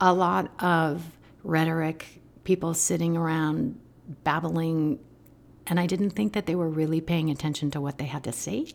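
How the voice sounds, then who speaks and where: Over a silent background in a very clean recording, a woman with a plain, everyday voice talks at a moderate pace, her pitch fairly low with ordinary variation. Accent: American. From US Southwest, Albuquerque, New Mexico. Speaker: meditation teacher. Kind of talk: casual interview.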